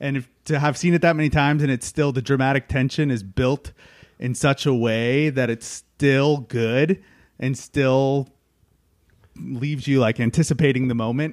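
A man talks in a normal speaking voice at a medium pitch and moderate pace. His intonation is fairly even, and the sound is dry and close with no echo. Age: 30s. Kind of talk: casual chat.

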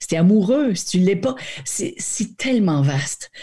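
Against a silent background in a very clean recording, a woman speaks at a fairly slow pace, somewhat breathy, with a dark, mellow tone. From New Brunswick, Acadia. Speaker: actress. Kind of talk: interview.

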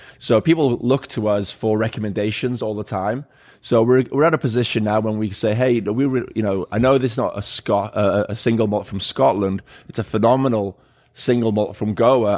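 Fairly even intonation at a fairly quick pace. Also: man. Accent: Welsh. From Wales. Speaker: bar owner. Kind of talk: casual chat. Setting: bar.

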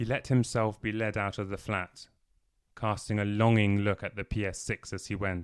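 In a very clean recording with a silent background, a man with a fairly low voice speaks at a moderate pace in a flat monotone. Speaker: audiobook narrator. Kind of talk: audiobook reading of a novel, narrated with character dialogue.

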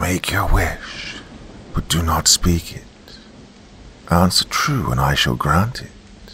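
A raspy, put-on character voice, hissing, at a fairly slow pace with long, frequent pauses. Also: man, very deep, low pitch for a man. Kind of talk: horror narration. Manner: menacing, slow.

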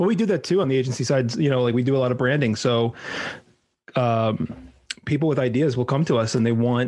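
At a fairly quick pace, a man talks at medium pitch with ordinary pitch variation in an unremarkable speaking voice. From New York. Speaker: marketing agency president. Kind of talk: casual chat.

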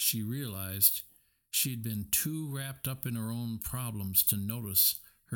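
Ordinary pitch variation in a plain reading aloud

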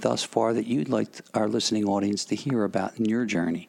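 A man with an American accent talks at a fairly quick pace and medium pitch in a normal speaking voice. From Philadelphia. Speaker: radio host. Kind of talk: radio interview.

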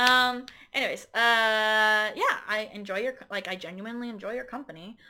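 With a normal speaking voice, a woman talks at a fairly high pitch and a moderate pace with fairly even intonation. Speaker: guest, host's romantic partner. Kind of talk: casual chat. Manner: giggly, laughs often.

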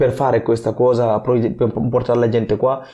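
A man's medium-pitched voice at a moderate pace against a quiet background. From Guinea. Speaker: weightlifting athlete. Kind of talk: interview. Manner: halting.

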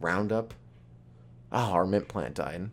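In a very clean recording with a silent background, a man speaks with vocal fry. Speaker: comedian. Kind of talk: casual chat. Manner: fast.

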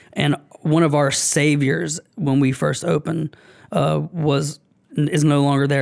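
In an unremarkable speaking voice, a man of fairly high pitch talks fairly slowly with fairly even intonation. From US South, Augusta, Georgia. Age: 30s. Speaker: bar owner. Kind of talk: casual interview. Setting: studio.

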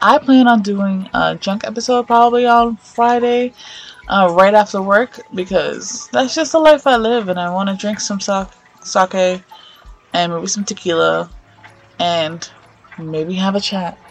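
A woman with a medium pitch talks in an animated tone, leaving long, frequent pauses. Music plays in the background. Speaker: podcast host. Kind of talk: casual chat.

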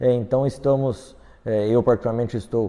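This man has a dark, mellow tone and fairly even intonation, talking at a moderate pace. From Londrina, Paraná, Brazil. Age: 20s. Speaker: politician. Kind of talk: interview. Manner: halting, frequent fillers.

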